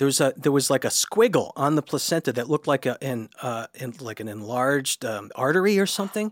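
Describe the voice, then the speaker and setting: In a dry, close recording with no echo, a man with a fairly high pitch talks fairly quickly and with lively intonation, hardly pausing at all. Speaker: comedian and writer. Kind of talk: casual chat. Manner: excited, enthusiastic.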